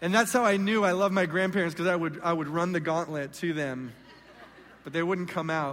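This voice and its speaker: A man's high voice with an American accent, fairly quick pace, ordinary pitch variation and audible room echo. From Southern California. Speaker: guest pastor. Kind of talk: sermon. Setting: church stage with congregation.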